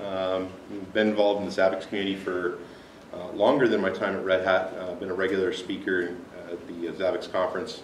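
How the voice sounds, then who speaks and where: A fairly low-pitched man at a fairly quick pace, with audible room echo and light background noise. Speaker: conference presenter. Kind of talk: technical talk. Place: meeting room. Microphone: camera far.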